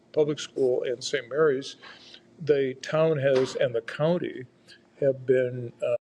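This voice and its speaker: Very slowly and somewhat breathily, a man with an American accent talks in a fairly high voice with fairly even intonation. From rural Iowa, US Midwest. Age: 70s. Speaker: federal judge. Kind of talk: interview. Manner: hesitant with fillers.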